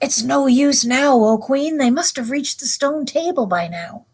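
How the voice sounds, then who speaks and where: A woman puts on a character voice with a high pitch. She talks at a moderate pace. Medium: read story. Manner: low, conspiratorial.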